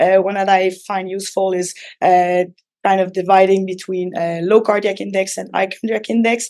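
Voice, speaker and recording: Speaking in a Quebec accent, a woman uses a medium pitch and a dark, mellow tone, with monotone, flat intonation at a moderate pace. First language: French. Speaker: physician. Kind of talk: lecture. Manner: halting, many fillers.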